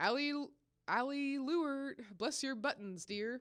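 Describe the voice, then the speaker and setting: A female-sounding, put-on character voice rises to a high pitch. It moves at a fairly slow pace. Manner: grave, solemn.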